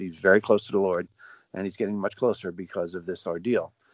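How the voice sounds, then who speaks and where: An unremarkable speaking voice, fairly low in pitch, belongs to a man talking at a moderate pace with ordinary pitch variation. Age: 60s. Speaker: father of a jailed defendant. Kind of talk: interview.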